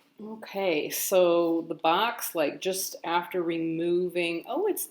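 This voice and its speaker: A woman speaks with hardly any pauses over noticeable background noise. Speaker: tarot deck reviewer. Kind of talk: unboxing video. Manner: casual, hesitant with fillers.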